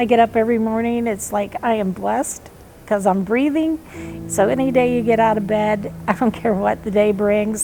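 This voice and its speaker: Music plays in the background. A woman with a fairly high pitch speaks at a moderate pace. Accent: American. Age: 60s. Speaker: cancer patient. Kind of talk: interview testimony.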